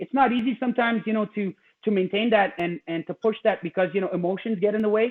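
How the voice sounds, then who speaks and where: This man speaks at a very fast pace in a high pitch. His pitch variation is ordinary. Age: 50s. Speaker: martial arts channel host. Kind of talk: casual chat. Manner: halting, many fillers.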